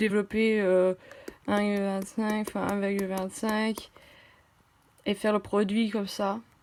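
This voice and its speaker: With long, frequent pauses, a woman speaks very slowly at a medium pitch in a flat, monotone way. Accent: slight German. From half German, half French. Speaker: math tutor, medical school applicant. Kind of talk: tutorial. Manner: halting, many hesitations.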